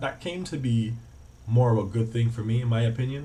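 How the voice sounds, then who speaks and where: A man talks with an American accent. The room echo is audible. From Cayman Islands. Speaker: travel vlogger and student. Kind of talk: casual vlog talk to camera. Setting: student flat. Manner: casual, with many fillers.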